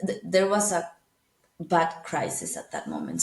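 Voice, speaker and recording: This woman speaks with a Spanish accent. Her pitch is fairly low and her pace moderate. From Venezuela. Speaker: international professional living abroad. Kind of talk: interview. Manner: halting.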